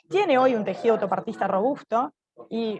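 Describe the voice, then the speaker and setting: Talking at a fairly quick pace, a woman with a fairly high pitch keeps her intonation fairly even. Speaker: government official. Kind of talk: conference presentation. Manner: fast.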